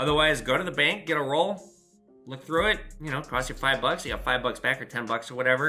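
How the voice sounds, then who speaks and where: A fairly quick, fairly high-pitched man with an American accent, music in the background. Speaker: pawn shop owner and YouTuber. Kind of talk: casual Q&A chat to camera. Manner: fast.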